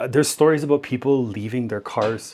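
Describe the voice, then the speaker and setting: A man with an unremarkable speaking voice and a Canadian accent, fairly even in intonation, on a very clean recording with a silent background. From Canada. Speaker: YouTuber reacting to videos. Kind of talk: reaction commentary.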